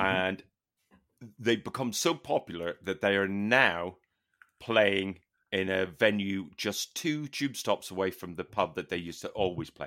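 In an English accent, a man speaks at a moderate pace with a fairly low pitch, a bright, sharp tone and ordinary pitch variation. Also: very clean recording, silent background. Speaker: podcast co-host. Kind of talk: casual chat.

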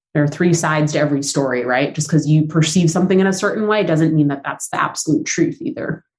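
A woman speaks at a very fast pace in a very deep, low pitch. Her delivery is somewhat breathy, with fairly even intonation. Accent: Southern Californian. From Southern California, San Fernando Valley. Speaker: business founder. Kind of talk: interview.

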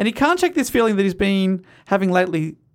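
Lively intonation in a natural reading voice

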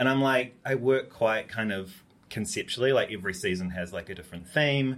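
With a New Zealand accent, a man speaks fairly quickly at a medium pitch and with ordinary pitch variation. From New Zealand, Upper Hutt. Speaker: fashion designer. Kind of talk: casual chat. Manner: animated.

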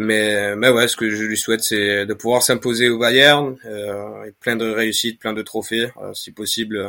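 Over a silent background in a very clean recording, a man speaks fairly slowly with hardly any pauses. His tone is bright and sharp, his intonation monotone and flat, and his loudness swings widely. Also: medium pitch for a man. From Spain, Granada. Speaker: football fan account manager. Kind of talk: casual podcast discussion.

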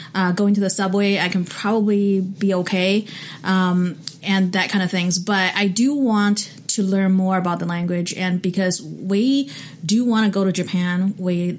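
A woman's medium-pitched voice with a Chinese accent, fairly even intonation and very even loudness, over noticeable background noise. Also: fairly slow pace. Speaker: podcast host. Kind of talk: casual chat. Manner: hesitant, fillers.

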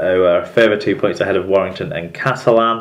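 A man is speaking. Noticeable background noise runs through the clip. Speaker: rugby league podcast presenter. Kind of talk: news reading.

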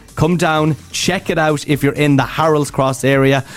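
Over noticeable background noise, a man with a Dublin accent talks at a moderate pace in a fairly high pitch. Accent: Dublin Irish. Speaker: radio host. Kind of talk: radio dj patter, upbeat drive-time banter with link-ins to songs, ads and traffic.

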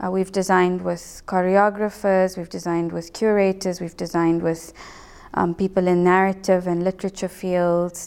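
Her voice medium in pitch, a woman speaks with a monotone, flat intonation. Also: moderate pace. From South Africa, Johannesburg. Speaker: architect. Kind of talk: interview. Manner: halting.

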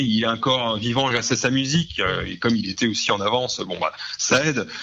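Ordinary pitch variation and a fairly quick pace in a man's medium-pitched speech. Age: 40s. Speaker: comic book and music writer. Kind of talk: radio interview. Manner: halting, many repetitions and fillers.

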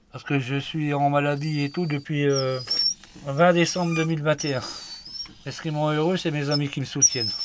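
A man with a fairly high pitch talks at a moderate pace in a monotone, flat way, with long, frequent pauses. Noticeable background noise is present. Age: 40s. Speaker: hunter on sick leave. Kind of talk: casual chat.

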